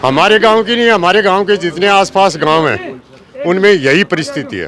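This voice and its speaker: Noticeable background noise fills the recording. The intonation rises and falls in a lively way. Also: man, high pitch for a man. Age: 60s. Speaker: villager voter. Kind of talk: street interview.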